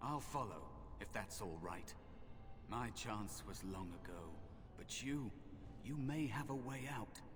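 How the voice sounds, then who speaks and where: Over loud background noise, a man puts on a character voice at medium pitch and speaks at a fairly slow pace. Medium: game stream. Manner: weary, gentle.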